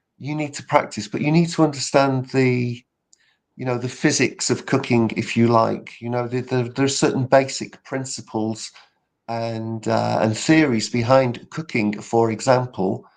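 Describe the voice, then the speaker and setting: A man speaks with a British accent. His intonation is fairly even. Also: medium pitch for a man, moderate pace, quiet background. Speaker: public speaking coach. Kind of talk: casual interview chat.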